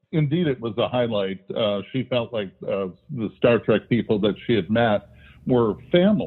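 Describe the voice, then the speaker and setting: At a fairly slow pace, a man speaks in a plain, everyday voice at a medium pitch. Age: 60s. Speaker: retired academic and author. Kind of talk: interview.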